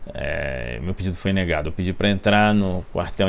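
A man with a very deep, low pitch talks at a fairly quick pace. His intonation is fairly even, and there's light background noise. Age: 40s. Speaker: investigative journalist; journalist. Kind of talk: interview monologue. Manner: hesitant, many fillers. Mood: serious, measured. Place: office.

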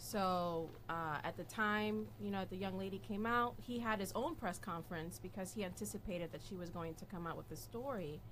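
Vocal fry runs through speech at a fairly quick pace, with light background noise. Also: woman, fairly low pitch for a woman. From Dominican and Puerto Rican heritage. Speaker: political activist. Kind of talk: interview. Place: studio. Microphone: studio mic.

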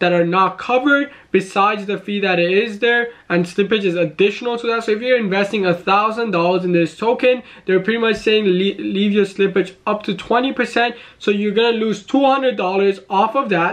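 A man speaks with a high pitch and ordinary pitch variation. His pace is moderate against a quiet background. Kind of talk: commentary. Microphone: webcam.

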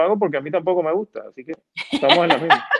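A man with a high-pitched voice talks at a very fast pace, recorded dry with no echo. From Puerto Rico, Argentine parents. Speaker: comedian and TV/radio producer. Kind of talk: casual interview. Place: home room. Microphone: earbuds.

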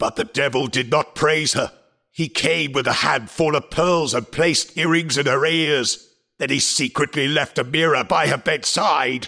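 A man talks at a moderate pace. His pitch is fairly high. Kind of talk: stage play acting. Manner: solemn, explanatory, warning.

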